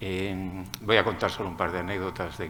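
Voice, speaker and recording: Against audible room echo, a man speaks in a very deep, low pitch. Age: 60s. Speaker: marine scientist, audience member. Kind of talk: audience question.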